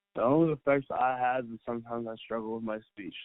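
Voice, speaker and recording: A man mumbles at a fairly quick pace. His pitch is medium and his intonation fairly even. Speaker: college basketball player. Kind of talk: interview. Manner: soft-spoken; mumbling.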